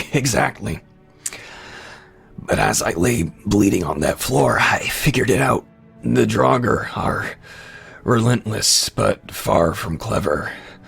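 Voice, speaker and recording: A man puts on a raspy character voice, fairly low in pitch with very wide pitch swings, at a fairly slow pace with long, frequent pauses. Faint music plays in the background. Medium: read story. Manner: wry, laughing between breaths.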